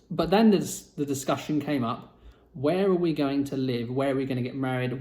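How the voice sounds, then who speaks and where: This man has a British accent. He speaks at a fairly quick pace with ordinary pitch variation. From Britain. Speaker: vlogger. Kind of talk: personal storytelling vlog. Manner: casual, conversational with fillers.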